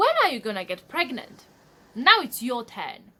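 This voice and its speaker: Her voice is high for a woman. Her pitch swings very widely. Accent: Polish. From Poland. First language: Polish. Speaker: vlogger. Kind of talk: casual vlog monologue. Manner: direct, blunt.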